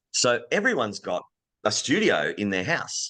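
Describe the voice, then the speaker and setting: At a fairly slow pace, a man with an Australian accent speaks against a quiet background. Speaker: voice actor. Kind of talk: podcast interview answer. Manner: casual, conversational.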